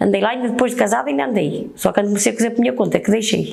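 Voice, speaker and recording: Amid noticeable background noise and audible room echo, a woman talks at a very fast pace in a fairly high pitch with lively intonation. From northern Portugal, Oliveira de Azeméis area. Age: 60s. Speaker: baker. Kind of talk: interview testimony. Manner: halting.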